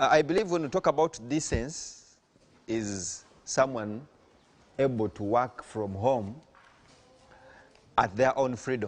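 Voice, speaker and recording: With a Ugandan accent, a man speaks at a medium pitch and fairly slow pace. His intonation is lively, and long, frequent pauses break up his speech. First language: Luganda. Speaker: farm owner. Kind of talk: farm presentation.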